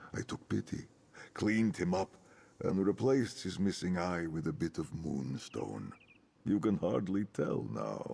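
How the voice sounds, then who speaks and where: In a put-on character voice pitched very deep and low, a man talks at a moderate speed. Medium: video game. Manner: formal, measured.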